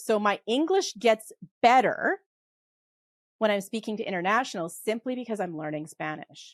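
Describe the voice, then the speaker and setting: Here a woman talks with a western Canadian accent in an animated tone and ordinary pitch variation. The sound is dry and close, with no echo. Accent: western Canadian, sounds like Hollywood. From western Canada. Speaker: polymath and tax expert. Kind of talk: podcast interview. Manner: fast.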